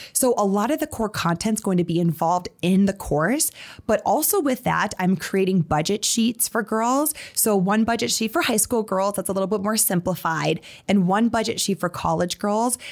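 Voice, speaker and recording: In an Upper Midwest accent, a woman at medium pitch speaks at a moderate pace in an animated tone, her intonation lively and her loudness very even. The recording is very clean, with a silent background. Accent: Upper Midwest American. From South Dakota (Sioux Falls). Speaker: financial literacy entrepreneur. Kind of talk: interview.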